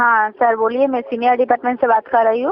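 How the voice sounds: A woman talks fast at a fairly high pitch, with little pitch movement. The sound is dry and close, with no echo.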